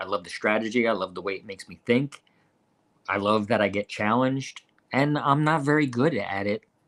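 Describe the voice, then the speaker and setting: Speaking fairly quickly in a medium pitch, a man sounds animated, with ordinary pitch variation. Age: 50s. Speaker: bowling podcast co-host and pro shop worker. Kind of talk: casual chat.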